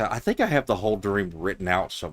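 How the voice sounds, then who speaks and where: A man with a strong Southern US accent, fairly low in pitch, at a moderate pace, dry and close with no echo, on a very clean recording over a silent background. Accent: thick southern US. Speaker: video game streamer. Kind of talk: casual chat. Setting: live stream.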